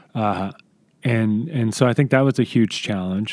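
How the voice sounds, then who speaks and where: Recorded with a dry, close sound with no echo, a man speaks at a fairly low pitch with ordinary pitch variation. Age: 40s. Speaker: film director. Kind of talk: interview. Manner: calm, measured.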